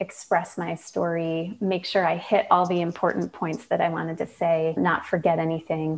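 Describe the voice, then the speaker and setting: A woman with a Midwestern US accent speaks at a moderate pace in a fairly low pitch, her intonation monotone and flat, on a very clean recording with a silent background. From Michigan. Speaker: design consultant and founder, autoimmune patient. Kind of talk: casual interview chat.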